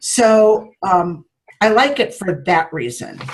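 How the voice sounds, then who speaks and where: A woman's somewhat breathy voice, fairly high in pitch, with lively intonation. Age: 60s. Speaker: network marketing team leader. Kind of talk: training talk to a group.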